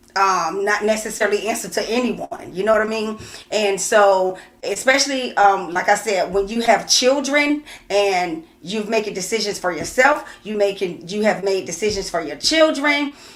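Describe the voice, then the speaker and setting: A woman with a medium-pitched voice talks at a moderate pace with lively intonation, over noticeable background noise. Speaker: co-host of a couples talk show. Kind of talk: casual livestream chat. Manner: loud, screams from working with children.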